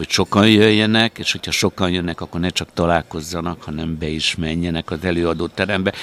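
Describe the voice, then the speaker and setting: Over noticeable background noise, a man with a very deep, low pitch talks at a fairly quick pace with fairly even intonation, the sound dry and close with no echo. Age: 60s. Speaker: conference organizer, former TV journalist. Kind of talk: interview.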